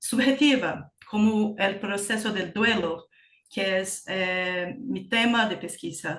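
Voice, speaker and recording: With a Portuguese accent, the speaker talks at a very slow pace. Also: woman. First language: Portuguese (speaking Spanish). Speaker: graduate student researcher. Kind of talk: conference Q&A discussion. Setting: conference panel. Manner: halting, searching for words.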